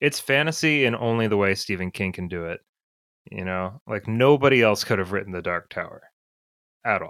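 Here a man talks at a fairly quick pace in a plain, everyday voice, his pitch fairly low. The intonation is lively, and the recording is very clean with a silent background. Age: 30s. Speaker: book reviewer on social media. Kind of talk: casual chat.

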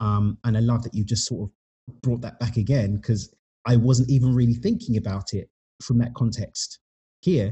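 A man speaks at a moderate pace with a medium pitch. His voice is somewhat breathy, with fairly even intonation. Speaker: author and podcaster. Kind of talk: casual interview chat.

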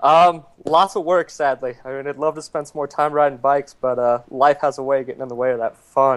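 An unremarkable speaking voice from a man, fairly high in pitch, fairly quick and fairly even in intonation, with hardly any pauses. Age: 30s. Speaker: off-road motorcycle racer. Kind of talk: casual chat.

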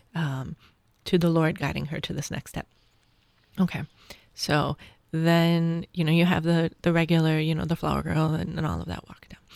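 A woman speaks in a fairly low, flat monotone. Her speech is broken by long, frequent pauses. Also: moderate pace, big swings in loudness. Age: 40s. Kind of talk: casual chat.

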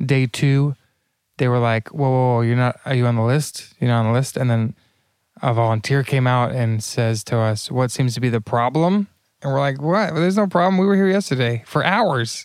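On a very clean recording with a silent background, a man at a medium pitch keeps his loudness very even in a plain, everyday voice. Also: lively intonation, moderate pace. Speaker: conference speaker and video producer. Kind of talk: casual chat. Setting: airport lounge, shared microphones.

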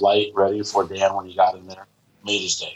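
Somewhat breathy, a man talks in an American accent. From Indiana. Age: 40s. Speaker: bartender. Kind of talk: casual chat. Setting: video call.

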